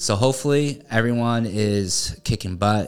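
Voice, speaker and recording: This man has a normal speaking voice, talking at a moderate pace with ordinary pitch variation. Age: 30s. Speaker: podcast host and realtor. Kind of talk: solo motivational talk.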